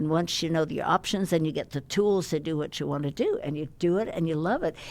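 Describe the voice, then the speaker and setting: A woman talks very fast, her fairly low voice showing ordinary pitch variation. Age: 90s. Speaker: guest on podcast, world record holder. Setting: podcast studio.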